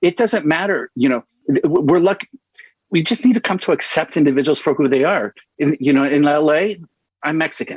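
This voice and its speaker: Using a Spanish accent, a man talks at a fairly quick pace and fairly high pitch, with lively intonation and very even loudness. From Southern California, Los Angeles suburbs. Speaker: children's book author and activist. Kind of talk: interview. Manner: halting, many false starts.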